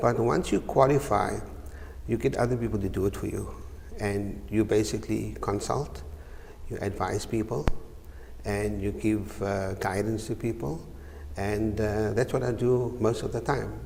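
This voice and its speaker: The speaker leaves long, frequent pauses, with ordinary pitch variation and audible room echo. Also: man, fairly low pitch for a man, moderate pace. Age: 60s. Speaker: chartered accountant, business director. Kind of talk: TV interview. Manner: hesitant, many uhs.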